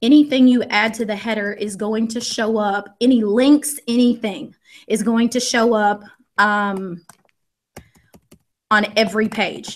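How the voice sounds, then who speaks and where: At a fairly slow pace, a woman with a Southern US accent speaks at a fairly high pitch with fairly even intonation. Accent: US South. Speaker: education technology trainer, former teacher. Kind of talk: screen-share tutorial. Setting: live video stream.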